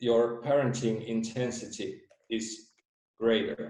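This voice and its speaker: A man speaks very slowly in a Finnish accent, his tone dark and mellow. Room echo is audible. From Finland. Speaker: theory creator presenting research. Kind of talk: presentation. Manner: halting.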